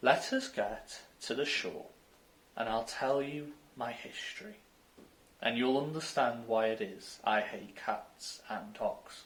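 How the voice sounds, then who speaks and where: A man puts on a shaky character voice at a medium pitch. He talks at a fairly slow pace with long, frequent pauses. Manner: indignant, upset.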